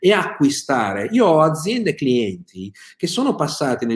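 This man has a fairly high pitch and a somewhat breathy voice that makes very wide pitch swings. He speaks at a moderate pace. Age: 50s. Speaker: sales consultant. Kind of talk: live-streamed business talk. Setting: live video stream.

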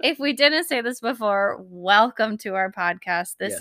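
A woman with a Minnesotan accent talks at a fairly slow pace, her fairly high pitch, lively intonation and bright, sharp tone caught in a dry, close sound with no echo. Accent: Minnesotan, noticeable Upper Midwest vowels. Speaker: podcast co-host. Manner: casual, chatty.

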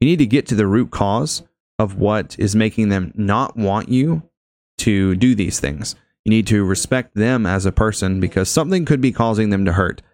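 A man with a fairly low pitch and a plain, everyday voice speaks at a moderate pace with ordinary pitch variation and very even loudness in a very clean recording with a silent background. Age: 20s. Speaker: podcast host. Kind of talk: casual chat.

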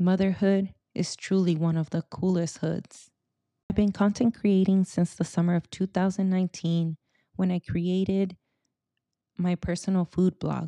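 Against a quiet background, a woman speaks at a moderate pace and medium pitch in a monotone, flat intonation, her tone dark and mellow, the sound dry and close with no echo. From US West Coast, Silicon Valley, Mexican-American. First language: Spanish. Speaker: podcast host. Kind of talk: personal monologue.

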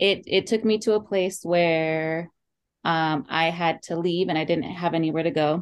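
A woman with an American accent speaks at a moderate pace and fairly low pitch. Her intonation is fairly even and her loudness very even. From Oxnard, California. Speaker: nonprofit founder and business owner. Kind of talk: casual interview. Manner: halting.

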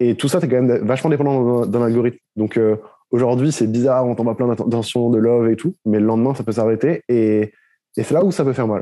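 A man with a medium pitch and a dark, mellow tone speaks at very even loudness with ordinary pitch variation over a quiet background. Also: fairly quick pace. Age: 20s. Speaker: clothing brand founder and content creator. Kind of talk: casual interview.

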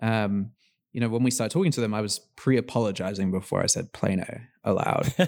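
In a very clean recording with a silent background, a man with an English accent speaks very fast in a medium-pitched voice with ordinary pitch variation. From England, London. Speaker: startup founder and CEO. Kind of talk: interview.

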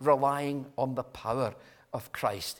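A man talks in a Scottish accent. His pace is moderate. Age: 60s. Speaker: visiting preacher. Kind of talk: sermon.

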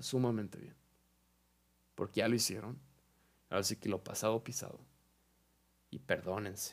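A man speaks at a moderate pace and fairly low pitch, with fairly even intonation. His loudness swings widely, and he leaves long, frequent pauses. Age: young. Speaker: podcast host. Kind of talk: casual monologue.

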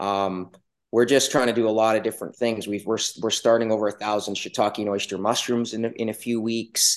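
Against a quiet background, a man delivers his words at a fairly quick pace, his medium pitch flat and monotone. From western Canada (Yukon, British Columbia). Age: 40s. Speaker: rancher and farmer. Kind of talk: casual interview.

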